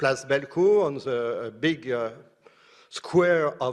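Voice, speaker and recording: The man's pitch is medium, with ordinary pitch variation. He speaks at a very slow pace. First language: French. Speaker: professor. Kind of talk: conference talk. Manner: halting.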